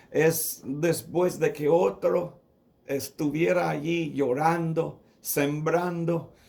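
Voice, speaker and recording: Fairly high pitch from a man with a non-native accent and ordinary pitch variation, in audible room echo. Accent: non-native Spanish, rusty. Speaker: pastor. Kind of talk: sermon. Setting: radio broadcast. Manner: halting, with fillers.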